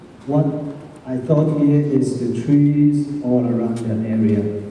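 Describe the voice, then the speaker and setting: Amid noticeable background noise and audible room echo, a man with a Chinese accent speaks very slowly with fairly even intonation. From China. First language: Mandarin Chinese. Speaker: teacher. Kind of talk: question and answer talk to students.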